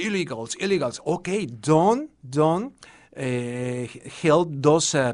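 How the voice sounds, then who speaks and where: Fairly slow and lively in intonation, a man speaks with a Mexican accent in a fairly high pitch. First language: Spanish. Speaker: TV and radio journalist. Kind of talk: radio interview. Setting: studio. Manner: halting, repeats words.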